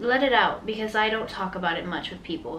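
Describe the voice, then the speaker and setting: A woman speaks at a fairly quick pace with an American accent and medium pitch. Noticeable background noise and audible room echo are present. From Miami, Florida. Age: 20s. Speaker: podcast host. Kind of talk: casual podcast monologue.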